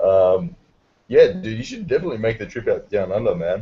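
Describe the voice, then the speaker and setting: A man speaks with an Australian accent at a moderate pace. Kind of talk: casual chat. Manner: animated.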